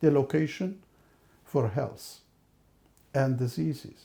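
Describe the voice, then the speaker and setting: This man talks at a fairly slow pace in a fairly high pitch, with ordinary pitch variation and a dark, mellow, somewhat breathy tone. The recording is very clean, with a silent background. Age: 60s. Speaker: professor. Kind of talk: lecture.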